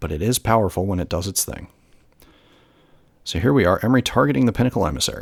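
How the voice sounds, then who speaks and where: Lively intonation comes through at a very fast pace, broken by long, frequent pauses, in a very clean recording with a silent background. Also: man, fairly low pitch for a man. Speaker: gameplay commentator. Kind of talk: live commentary.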